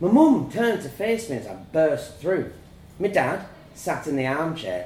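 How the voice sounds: The speaker reads in a natural reading voice.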